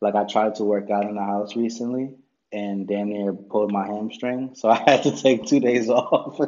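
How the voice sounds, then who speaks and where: A man with a fairly low pitch has an ordinary speaking voice, fairly even intonation and a moderate pace. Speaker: podcast co-host. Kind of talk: casual chat. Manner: casual, slangy.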